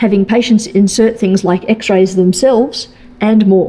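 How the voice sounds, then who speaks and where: At a fairly slow pace, a woman is talking. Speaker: presenter. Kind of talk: lecture. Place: hall. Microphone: podium.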